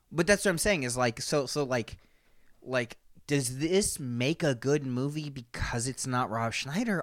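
A man with a fairly high pitch and lively intonation, at a fairly slow pace, in a very clean recording with a silent background. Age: 30s. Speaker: podcast co-host. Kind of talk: casual chat. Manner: animated.

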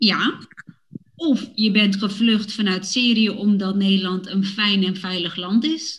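Somewhat breathy and very slow, a woman speaks at medium pitch with ordinary pitch variation. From Netherlands, Woerden (Utrecht). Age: 30s. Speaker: podcast host for Dutch learners. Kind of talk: scripted casual chat for language learners.

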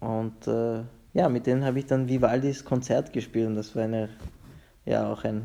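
A man is speaking. His pace is moderate. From Vienna, Austria. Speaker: conductor and violinist. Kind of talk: interview. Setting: video call from home. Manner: halting, many repetitions.

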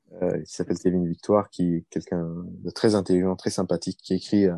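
Dry and close with no echo, the recording captures a man's very deep, low voice with a dark, mellow tone. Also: quiet background. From Iraq (Baghdad) then Paris suburbs, France. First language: Arabic (speaking French). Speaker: law doctoral student and consultant. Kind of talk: interview conversation. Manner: halting, many repetitions and fillers.

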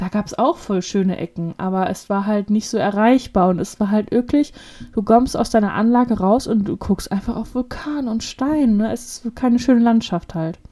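A woman's fairly high, dark, mellow, somewhat breathy voice at a moderate pace with ordinary pitch variation. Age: 20s. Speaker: podcast co-host. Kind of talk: casual chat.

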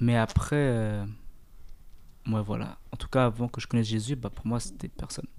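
A man with a plain, everyday voice speaks fairly slowly with fairly even intonation. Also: medium pitch for a man, hardly any pauses. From Eritrea. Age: 20s. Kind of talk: casual faith discussion.

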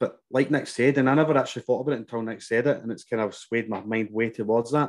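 Someone with a Glasgow accent talks at a very fast pace with fairly even intonation over a quiet background. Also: man. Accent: Scottish, Glasgow. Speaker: fitness business coach. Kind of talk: casual chat.

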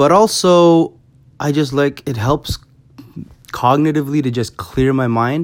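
A man speaks in an unremarkable speaking voice with a Canadian accent. His pitch varies in an ordinary way. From Canada, Toronto. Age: 30s. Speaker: podcast host and club MC. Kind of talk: casual solo monologue. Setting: bedroom at home. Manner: casual with frequent fillers.

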